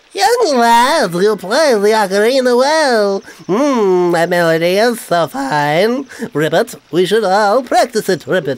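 Speaking in a put-on character voice, a female-sounding voice at medium pitch moves at a fairly slow pace. She leaves hardly any pauses. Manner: silly, with ribbit croaks.

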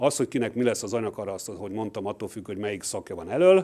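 Lively intonation marks this man's speech. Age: 50s. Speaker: university professor. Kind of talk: lecture. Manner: halting. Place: hall. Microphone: podium.

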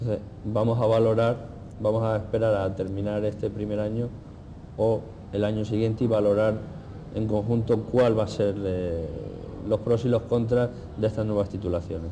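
A man's monotone, flat delivery broken by long, frequent pauses, against noticeable background noise. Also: moderate pace. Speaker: cooking teacher. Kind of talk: interview. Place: cafe. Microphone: lapel.

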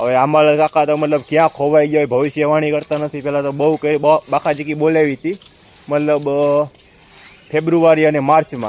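Recorded dry and close with no echo, a man speaks in a flat monotone at a fairly high pitch while noticeable noise sits in the background. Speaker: vlogger. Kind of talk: vlog narration.

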